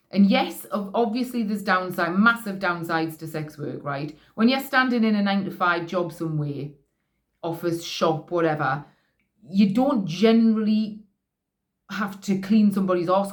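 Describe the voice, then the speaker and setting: In a Geordie accent, a woman with a medium-pitched voice speaks at a moderate pace with ordinary pitch variation. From northeast England. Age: 40s. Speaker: vlogger, sex worker. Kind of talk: casual monologue. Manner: halting, many false starts.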